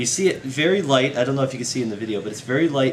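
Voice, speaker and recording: This man talks at a medium pitch. His intonation is lively. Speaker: beer reviewer. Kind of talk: casual talk to camera.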